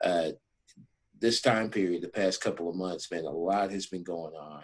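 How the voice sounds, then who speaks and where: A man speaks at a moderate pace with a very deep, low pitch. His intonation is fairly even, though his loudness swings widely. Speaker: podcast host and football coach. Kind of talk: podcast interview.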